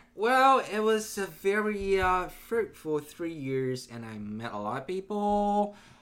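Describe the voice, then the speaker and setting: A high-pitched man talks at a very slow pace with hardly any pauses, very wide pitch swings, and big swings in loudness. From China (Nanjing). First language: Mandarin Chinese. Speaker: game company employee. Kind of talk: casual chat.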